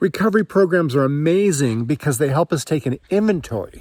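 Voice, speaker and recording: A normal speaking voice with lively intonation at a moderate pace, dry and close with no echo. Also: man. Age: 60s. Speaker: marriage and family therapist. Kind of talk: reflective personal talk to camera. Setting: outdoors, walking in mountains.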